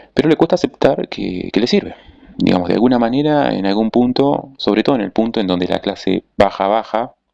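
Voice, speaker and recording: Talking fairly quickly, a man keeps his pitch variation ordinary. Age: 30s. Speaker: political commentator. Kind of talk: monologue analysis. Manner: hesitant with fillers and self-corrections.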